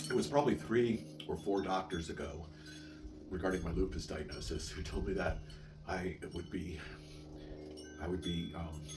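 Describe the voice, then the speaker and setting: A man's very deep, low voice with ordinary pitch variation and long, frequent pauses, audible room echo and music in the background. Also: moderate pace. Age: 60s. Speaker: vlogger living with chronic illness. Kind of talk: casual monologue vlog. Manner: halting, frequent repetitions and fillers.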